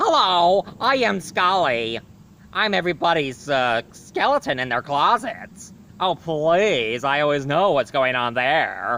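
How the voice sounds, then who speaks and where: A man puts on a character voice pitched fairly high. He delivers it at a fairly slow pace. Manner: theatrical and playful.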